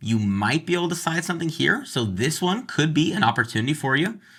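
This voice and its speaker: In a very clean recording with a silent background, a man speaks very fast in a fairly high, bright, sharp voice with vocal fry and very wide pitch swings. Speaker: real estate agent. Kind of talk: tutorial.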